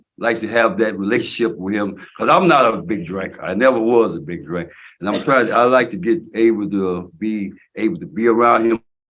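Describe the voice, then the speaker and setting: Against a quiet background, a man talks at a moderate pace with a medium pitch and ordinary pitch variation. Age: 60s. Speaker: prison inmate at parole hearing. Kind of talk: parole board hearing testimony. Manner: halting, repeats words.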